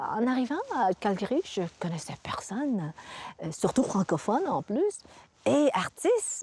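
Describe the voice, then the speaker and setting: The speaker moves at a fairly slow pace, with long, frequent pauses and very wide pitch swings. The sound is dry and close with no echo, and background noise is noticeable. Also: woman, fairly high pitch for a woman. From Vietnam, raised in Montreal. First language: Vietnamese (speaking French). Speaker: visual artist. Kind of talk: interview. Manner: halting.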